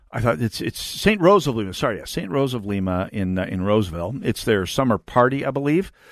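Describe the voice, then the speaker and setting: Against a quiet background, a man with an American accent speaks fairly quickly at a fairly low pitch, using ordinary pitch variation and an ordinary speaking voice. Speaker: conservative talk radio host. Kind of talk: political talk radio monologue. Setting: radio studio.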